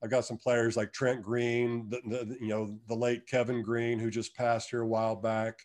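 A man at a moderate pace with hardly any pauses, in a monotone, flat intonation. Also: medium pitch for a man. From Kansas. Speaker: retired football player. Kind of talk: podcast interview.

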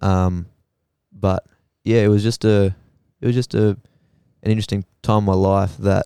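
Very clean and silent in the background, this recording has a man with an Australian accent and a fairly low voice. His tone is dark and mellow, and his intonation fairly even. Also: dry, close sound with no echo. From Australia, Queensland (Rockhampton area). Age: 20s. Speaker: psychology student. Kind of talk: casual chat.

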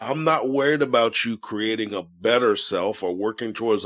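Medium-pitched man's voice with ordinary pitch variation on a very clean recording with a silent background. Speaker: podcast host. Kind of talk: solo podcast monologue with guided breathing. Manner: calm, warm, conversational.

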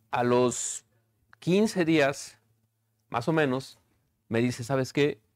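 The recording is very clean, with a silent background. A man talks at a very slow pace in a medium pitch. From Mexico, Ticumán, Morelos. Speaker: chef and restaurateur. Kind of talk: casual interview. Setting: on location in his restaurant.

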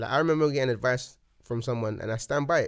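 A man talks with a London accent. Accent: London, multicultural London English. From London (Hackney). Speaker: rapper. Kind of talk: casual chat. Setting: studio. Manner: animated.

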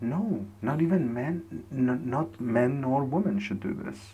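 In a dark, mellow, somewhat breathy tone, a man at medium pitch speaks at a fairly slow pace with very wide pitch swings. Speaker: solo podcaster. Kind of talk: casual monologue. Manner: halting, repeats words.

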